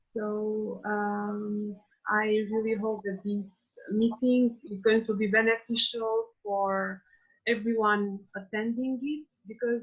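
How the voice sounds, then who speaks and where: In an Albanian accent, a woman speaks with a fairly high pitch, a somewhat breathy quality and monotone, flat intonation. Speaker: PhD student. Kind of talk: panel discussion.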